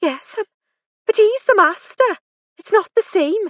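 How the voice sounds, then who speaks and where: A squeaky, female-sounding put-on character voice speaks at an extremely high pitch and a moderate pace. Its tone is timid. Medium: read story. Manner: timid, hesitant.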